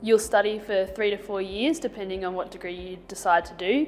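Words come at a very fast pace over light background noise. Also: woman. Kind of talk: interview answer. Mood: friendly, positive. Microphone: lapel.

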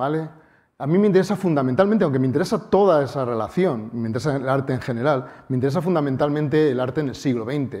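Over a quiet background, a man with a dark, mellow tone speaks very fast at a fairly high pitch with lively intonation. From Spain, Bilbao (Basque Country); Basque Country, Spain. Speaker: mathematics professor and science communicator; mathematics professor. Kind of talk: public lecture. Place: hall.

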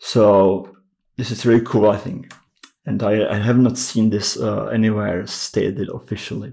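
A man talks at a moderate pace with fairly low pitch and a dark, mellow tone. His intonation stays fairly even, with vocal fry. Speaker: music gear youtuber. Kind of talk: tutorial. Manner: halting, many fillers.

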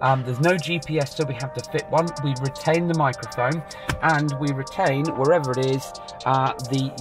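A man speaks at a moderate pace over clear background music, the sound dry with no echo. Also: ordinary pitch variation. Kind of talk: product walkthrough commentary. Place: car. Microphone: phone near.

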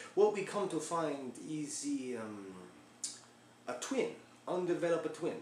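A man speaks at a very slow pace. Audible room echo and light background noise are present. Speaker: storyteller playing a doctor character. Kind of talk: comedic character monologue. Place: home room. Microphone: camera far.

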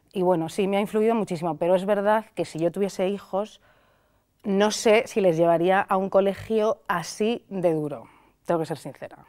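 Against a quiet background, a woman with a Madrid accent speaks at a moderate pace and medium pitch, her tone dark and mellow with ordinary pitch variation. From Madrid, Spain; Spain. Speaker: critic and video creator; video creator. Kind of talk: interview. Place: studio.

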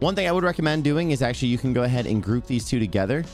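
The speech runs at a very fast pace over faint background music, with a dry sound and no echo. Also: man. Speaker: tech tutorial creator. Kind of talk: tutorial.

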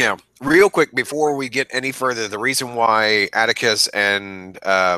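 In a dry, close recording with no echo, a man speaks at a fairly slow pace in a bright, sharp tone. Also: medium pitch for a man, ordinary pitch variation, very clean recording, silent background. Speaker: book podcast co-host. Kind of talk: casual chat.

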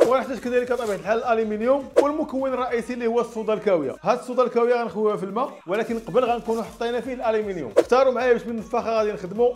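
A man's extremely high voice at a very fast pace, fairly even in intonation, over noticeable background noise. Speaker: experiment video host. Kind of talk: casual tutorial commentary. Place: home room. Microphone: lapel.

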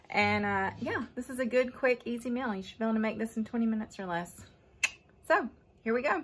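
A somewhat breathy woman over light background noise. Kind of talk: casual cooking tutorial. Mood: cheerful, laughing. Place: kitchen. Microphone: phone near.

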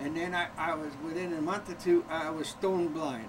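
Noticeable background noise sits behind speech with fairly even intonation. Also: man. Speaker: grandfather, longtime corneal transplant patient. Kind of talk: interview answer, personal storytelling. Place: home room. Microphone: old recording.

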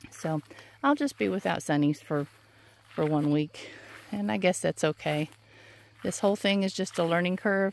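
With long, frequent pauses, a woman speaks at a moderate pace in a fairly low pitch and lively intonation, the sound dry with no echo. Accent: Southern US. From US South. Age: 60s. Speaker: flower farmer and vlogger; vlogger. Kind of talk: casual walking vlog. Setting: outdoors. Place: farm. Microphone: phone near.

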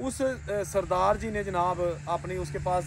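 The recording of a man's voice has light background noise and a dry sound with no echo. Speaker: presenter. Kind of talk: narrated history storytelling to camera. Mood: solemn, compassionate. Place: open country. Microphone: handheld.

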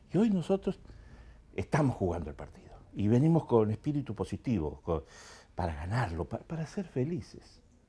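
At a moderate pace, a man talks in a dark, mellow, somewhat breathy tone with very wide pitch swings. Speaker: talk show host. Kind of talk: show opening monologue. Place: studio. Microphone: lapel.

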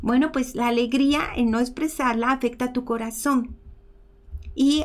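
A woman speaks at a moderate pace and a high pitch. Her intonation is fairly even. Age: 50s. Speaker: emotional healing and bioenergy teacher; bioenergy teacher. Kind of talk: teaching talk in a live stream. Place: home room.

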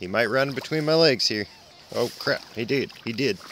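A man speaks with a lively, bouncing intonation. Background noise is noticeable behind him. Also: dry sound with no echo. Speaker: parent coaching child fishing. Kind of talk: casual instructions. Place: waterside. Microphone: phone near.

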